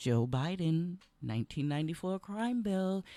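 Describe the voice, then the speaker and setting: A loud, animated woman's voice, fairly low in pitch and fairly slow in pace, with very wide pitch swings and a dry, close sound free of echo. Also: very clean recording, silent background. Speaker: radio talk show host and congressional candidate. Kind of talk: political talk radio monologue.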